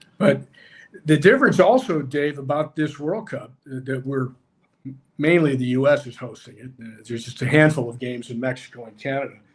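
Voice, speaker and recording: The speech runs at a fairly quick pace with ordinary pitch variation. Its loudness swings a lot. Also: man, fairly high pitch for a man. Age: 60s. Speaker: former pro soccer player and college coach. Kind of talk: casual chat. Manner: halting.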